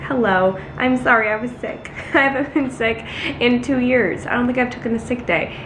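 Over light background noise, a woman speaks at a high pitch with ordinary pitch variation. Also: moderate pace. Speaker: vlogger. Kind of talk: casual vlog chat. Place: kitchen. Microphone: phone near.

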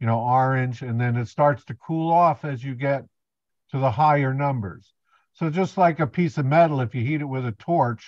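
Recorded dry with no echo over a quiet background, a man talks at a moderate pace with fairly even intonation. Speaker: presenter. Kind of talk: lecture. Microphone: video call.

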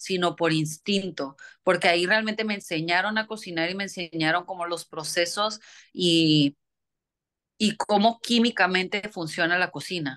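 At a fairly slow pace, a woman with a fairly low pitch speaks with ordinary pitch variation against a quiet background. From Mexico, Tijuana (border); Mexico. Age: 30s. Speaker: chef. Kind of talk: interview. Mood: calm, thoughtful. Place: home room. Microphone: phone near.

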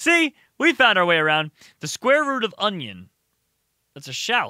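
A man's raised, projected voice has a bright, sharp tone. The sound is dry, with no echo. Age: 20s. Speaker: gaming YouTuber. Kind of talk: casual gameplay commentary. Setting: home recording with webcam. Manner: animated. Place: home room. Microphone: studio mic.

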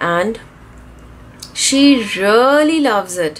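Noticeable background noise sits under a woman whose pitch swings very widely. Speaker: craft youtuber. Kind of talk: tutorial. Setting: home studio.

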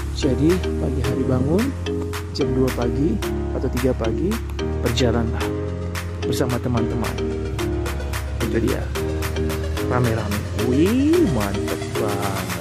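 Loud music plays behind a man who speaks at a fairly slow pace, leaving long, frequent pauses. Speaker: travel vlogger. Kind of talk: casual vlog chat. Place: open country. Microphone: phone near.

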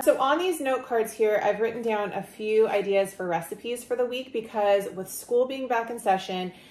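At a moderate pace, a woman talks with ordinary pitch variation while audible room echo surrounds her voice. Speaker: lifestyle vlogger. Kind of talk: casual vlog chat. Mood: friendly, relaxed. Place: home room. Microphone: camera far.

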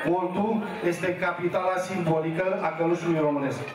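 With monotone, flat intonation, a man speaks at a moderate pace in a high voice, with audible room echo and noticeable background noise. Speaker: local official. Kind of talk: public address to crowd. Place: street.

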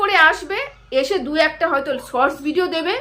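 A woman raises and projects her strained, bright, sharp voice with very wide pitch swings. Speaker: YouTube commentator. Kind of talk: vlog commentary. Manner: strained effort to speak loudly.

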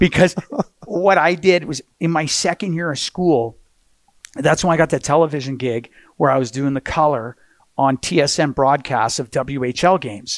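Against a quiet background, a man with a fairly high pitch speaks with ordinary pitch variation in a dry sound with no echo. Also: moderate pace. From Canada. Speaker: hockey play-by-play announcer. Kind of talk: podcast interview answer. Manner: energetic, enthusiastic. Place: studio. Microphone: headset.

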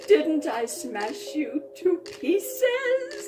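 A woman puts on a character voice at an extremely high pitch, shrill and shaky yet dark and mellow in tone, with big pitch swings, a very slow pace and faint music in the background.

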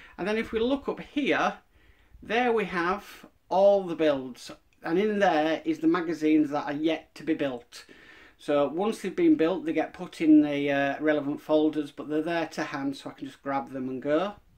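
Things stay quiet in the background. The speech moves at a moderate pace. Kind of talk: casual room tour narration. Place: home room. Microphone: phone near.

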